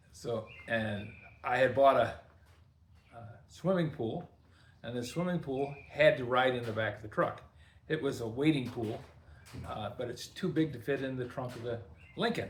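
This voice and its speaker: With audible room echo, a man in a relaxed tone speaks at a moderate pace and a medium pitch, somewhat breathy, with ordinary pitch variation, big swings in loudness and long, frequent pauses. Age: 70s. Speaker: workshop video host, DIY mechanic. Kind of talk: casual storytelling to camera. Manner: relaxed, conversational with fillers.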